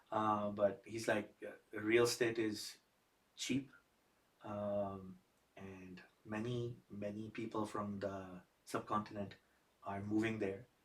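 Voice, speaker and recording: With a Pakistani accent and fairly low pitch, a man speaks at a very slow pace in a monotone, flat intonation, with long, frequent pauses. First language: Urdu. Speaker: podcast host. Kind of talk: podcast interview.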